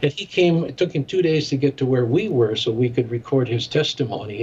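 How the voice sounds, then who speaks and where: A fairly quick, somewhat breathy delivery in an American accent. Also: man. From US Midwest, Chicago. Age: 70s. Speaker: ministry director and former radio broadcaster. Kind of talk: interview.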